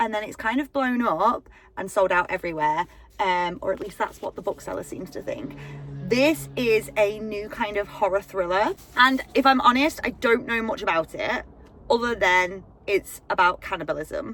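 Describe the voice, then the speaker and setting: Over music in the background, lively intonation and a moderate pace come through in a British accent. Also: woman, fairly high pitch for a woman. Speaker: book vlogger. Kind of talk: casual vlog. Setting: outdoors and in a car. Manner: bubbly and animated.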